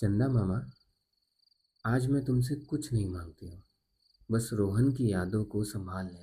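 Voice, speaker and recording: A soft-spoken man with a fairly low pitch and a dark, mellow tone that is somewhat breathy. His loudness swings widely, and he leaves long, frequent pauses. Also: ordinary pitch variation. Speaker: storyteller. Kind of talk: sleep story. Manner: slow, soft.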